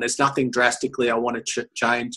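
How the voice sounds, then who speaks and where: Against a quiet background, a man with an Australian accent speaks at a moderate pace and a medium pitch, his tone bright and sharp, his intonation monotone and flat. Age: 50s. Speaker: motivational speaker. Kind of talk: casual chat. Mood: relaxed, candid. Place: office. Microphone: webcam.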